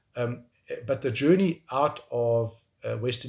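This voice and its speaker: In a very clean recording with a silent background, a man with a South African accent sounds somewhat breathy. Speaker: tech entrepreneur and filmmaker. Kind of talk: interview. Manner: halting, with frequent repetitions.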